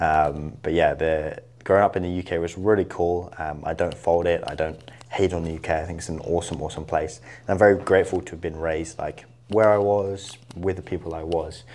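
Speaking at a fairly quick pace with fairly even intonation, a man with a southern English accent has a very deep, low pitch. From England, Isle of Wight. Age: 20s. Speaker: entrepreneur. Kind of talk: interview.

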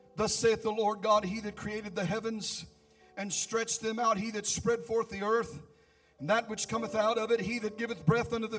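Talking at a fairly quick pace, a man sounds animated, his pitch high. Noticeable background noise runs underneath. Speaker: pastor. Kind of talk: sermon, preacher in full flow with call-and-response. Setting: church with congregation. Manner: animated, fervent, rhythmic repetition and exclamations; loud, urgent, building to shouted crescendos.

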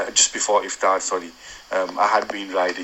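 Against noticeable background noise, a man with a Yorkshire accent talks at a fairly slow pace. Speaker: cyclist sending a voice note to a podcast. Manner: reading from prepared notes.

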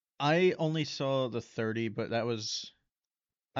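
A man speaks with an ordinary speaking voice. His pitch is medium, with ordinary variation. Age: 20s. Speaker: podcast co-host filling in, sibling of host. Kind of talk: casual chat.

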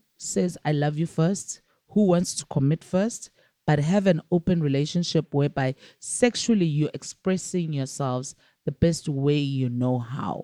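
A woman's dark, mellow voice at a fairly slow pace, dry and close with no echo. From South Africa, Johannesburg. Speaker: filmmaker. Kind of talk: casual chat. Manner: animated.

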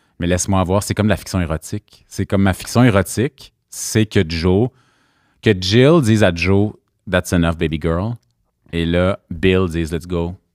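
Very deep and low, a man's voice moves at a fairly slow pace with a dry, close sound and no echo. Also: ordinary pitch variation, very clean recording, silent background. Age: 30s. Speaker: podcast co-host. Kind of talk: casual chat.

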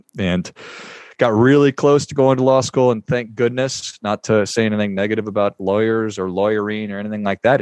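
Here is a man with an American accent and a fairly low pitch, a normal speaking voice. His pitch variation is ordinary. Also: dry, close sound with no echo. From US Midwest, northern Minnesota. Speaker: podcast host and financial advisor. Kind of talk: interview. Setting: studio.

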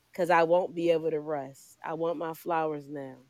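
A woman's fairly low-pitched voice with an American accent, a plain, everyday voice, at a moderate pace. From Philadelphia. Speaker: poet and entrepreneur. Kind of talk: spoken word performance.

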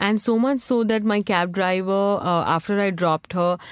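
The recording is very clean, with a silent background. In it, a woman's pitch shifts in an ordinary way. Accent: Indian. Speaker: magazine founder. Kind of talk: casual interview chat.

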